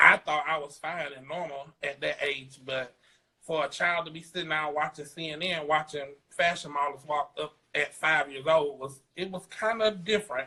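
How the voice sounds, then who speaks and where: With a South Carolina accent, a man speaks at a moderate pace in a bright, sharp tone, his fairly high pitch held to fairly even intonation while his loudness swings widely. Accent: Southern US (South Carolina). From US South, South Carolina. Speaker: fashion designer. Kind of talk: interview.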